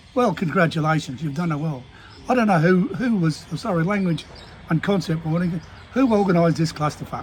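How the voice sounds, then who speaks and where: Against noticeable background noise, the delivery is fairly quick, with the pitch shifting in an ordinary way. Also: man, high pitch for a man. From Queensland, Australia. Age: 70s. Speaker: small business owner and vlogger. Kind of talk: casual monologue rant. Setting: at a desk. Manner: halting, many fillers and restarts.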